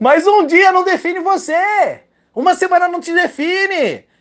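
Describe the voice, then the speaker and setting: A man speaks over a quiet background. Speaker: trading podcaster giving advice. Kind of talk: angry rant, scolding a reckless trader. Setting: solo recording. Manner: loud, harsh, sarcastic, cursing.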